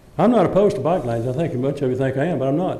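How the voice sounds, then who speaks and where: Through audible room echo and noticeable background noise, a man with a Texan accent speaks at a medium pitch with ordinary pitch variation. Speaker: resident and former council member. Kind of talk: public comment at council meeting. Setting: city council chamber. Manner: halting, repeats words.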